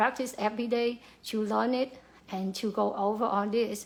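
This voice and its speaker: In a Vietnamese accent, a woman with a fairly high pitch speaks at a moderate pace in a monotone, flat intonation. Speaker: pharmacy worker. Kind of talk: motivational talk. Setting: livestream to camera. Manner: halting, many fillers.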